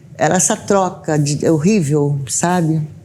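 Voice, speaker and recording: A woman's voice, very deep and low in pitch, has a dark, mellow tone. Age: 60s. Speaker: domestic violence survivor. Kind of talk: testimony. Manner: halting.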